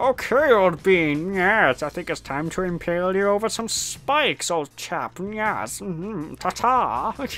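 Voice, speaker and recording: A man puts on a character voice, pitched high for a man. He speaks fairly slowly with lively intonation. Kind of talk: posh. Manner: menacing.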